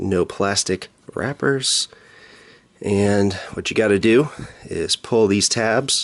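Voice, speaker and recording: This man speaks at a very slow pace, leaving long, frequent pauses. The sound is dry and close with no echo, over noticeable background noise. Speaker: tech youtuber. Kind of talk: unboxing tutorial. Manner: casual, relaxed.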